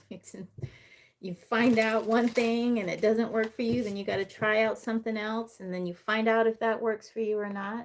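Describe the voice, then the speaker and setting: At a moderate pace, a woman speaks in an unremarkable speaking voice with a fairly high pitch. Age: 40s. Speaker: tarot reader. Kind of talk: live stream reading and chat. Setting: live stream on computer. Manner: casual, conversational.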